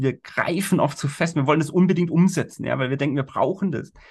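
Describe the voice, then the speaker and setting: A man talks over a quiet background. His voice sounds somewhat breathy. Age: 40s. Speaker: life coach and corporate trainer. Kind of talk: casual interview. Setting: video call.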